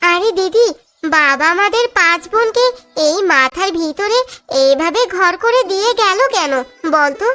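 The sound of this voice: A woman puts on a cartoonish character voice, extremely high-pitched with lively intonation, speaking at a fairly slow pace and very even loudness over music in the background.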